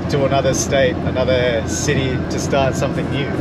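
A male speaker keeps a medium tempo while heavy background noise plays loudly. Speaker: vlogger moving interstate. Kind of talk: casual vlog chat. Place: car. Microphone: camera far.

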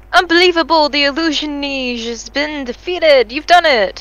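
The voice is raised and projected. It moves at a moderate pace with ordinary pitch variation. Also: woman. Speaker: gaming video creator. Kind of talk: casual gameplay chat. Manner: animated.

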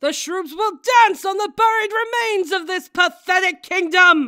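A female-sounding put-on character voice, pitched extremely high, moves at a moderate pace.

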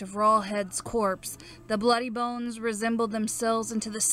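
A plain read-aloud passage.

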